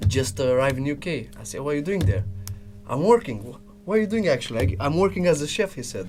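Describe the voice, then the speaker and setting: Over music in the background, a man with a Romanian accent talks at a very fast pace and fairly high pitch, with very wide pitch swings and big swings in loudness. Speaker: business development salesman. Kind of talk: casual chat. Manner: halting.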